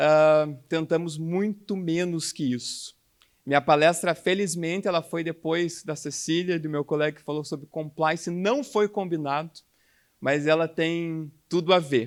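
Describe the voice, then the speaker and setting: A man's fairly high voice in a Curitiba accent, at a fairly slow pace with ordinary pitch variation, on a very clean recording with a silent background. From Curitiba, southern Brazil. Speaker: healthcare quality speaker. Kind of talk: conference talk.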